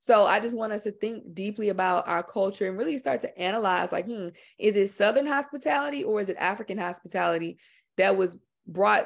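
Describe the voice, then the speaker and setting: Against a quiet background, a woman with an American accent speaks at a very fast pace. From Houston, Texas, with Louisiana Creole family. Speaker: filmmaker and author. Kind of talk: presentation and discussion. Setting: video webinar. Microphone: video call.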